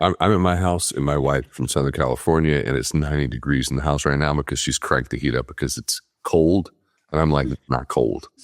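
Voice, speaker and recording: Dry and close with no echo, the recording captures a man's very deep, low voice with vocal fry and ordinary pitch variation. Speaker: podcast host; former Olympic swimmer. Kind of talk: casual podcast conversation.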